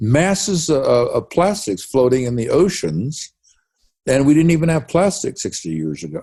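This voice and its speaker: Somewhat breathy and dark, mellow in tone, a man's fairly high voice moves at a moderate pace. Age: 80s+. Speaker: scientist. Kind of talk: interview. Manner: animated.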